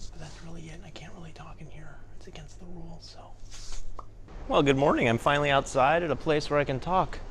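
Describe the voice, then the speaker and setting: A man speaks quietly at a very fast pace. Audible room echo surrounds his voice. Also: big swings in loudness. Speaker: travel vlogger; teacher. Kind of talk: casual vlog narration. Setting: capsule hotel, indoors; outdoors. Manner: quiet, hushed.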